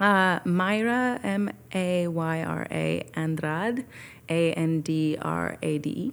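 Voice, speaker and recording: A woman's very slow speech with lively intonation. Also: fairly low pitch for a woman, very clean recording, silent background. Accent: American. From Northern California (Petaluma). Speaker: jazz singer and voice teacher. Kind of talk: casual interview.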